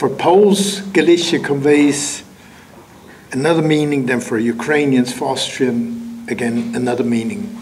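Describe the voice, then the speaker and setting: A man with a non-native accent talks at a fairly slow pace in a fairly high pitch, his pitch swinging very widely, with noticeable background noise and audible room echo. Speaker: writer and lecturer. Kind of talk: lecture. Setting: lecture hall with audience. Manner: halting with fillers.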